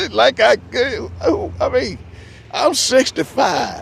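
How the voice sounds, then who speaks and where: Noticeable background noise accompanies a man whose pace is fairly slow. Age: 60s. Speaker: vlogger. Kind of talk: casual monologue. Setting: outdoors in the shade. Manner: halting, repetitive.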